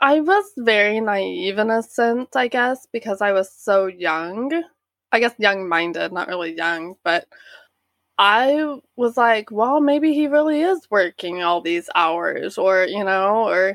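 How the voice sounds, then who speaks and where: In an Oklahoma accent, the speaker talks very slowly with lively intonation, recorded very cleanly against a silent background with a dry, close sound and no echo. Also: woman, fairly high pitch for a woman. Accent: Oklahoma American. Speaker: guest's sister. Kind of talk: interview testimony.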